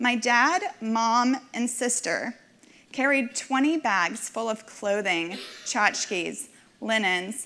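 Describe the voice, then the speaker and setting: Bright and sharp in tone, a woman speaks at a fairly high pitch with ordinary pitch variation. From Nashville, Tennessee (from age five; born in Minsk, Belarus). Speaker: community volunteer donor. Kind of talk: personal testimony speech. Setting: stage with audience.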